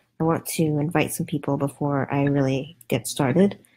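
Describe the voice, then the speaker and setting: A soft-spoken woman with a very deep, low voice and a dark, mellow tone. She talks at a fairly slow pace. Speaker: political commentator livestreamer. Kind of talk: casual livestream commentary. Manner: hesitant, many fillers.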